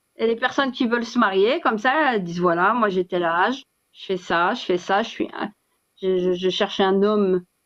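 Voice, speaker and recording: A woman talks at a moderate pace. Her pitch sits in the middle range, with ordinary variation. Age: 50s. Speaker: live stream host on Islamic topics. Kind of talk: casual live chat. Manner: hesitant, many fillers and repetitions.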